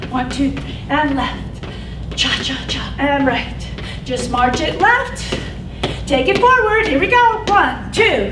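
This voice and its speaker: A woman talks at a very slow pace with long, frequent pauses. Loud background noise is present. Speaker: fitness instructor. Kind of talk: exercise class cueing. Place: gym.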